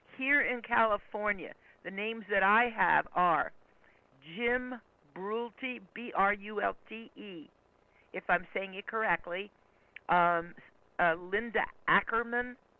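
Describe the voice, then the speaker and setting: The delivery is very slow. Long pauses break it up frequently. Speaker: caller. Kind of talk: casual chat. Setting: phone call. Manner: loud. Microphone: too close to the phone.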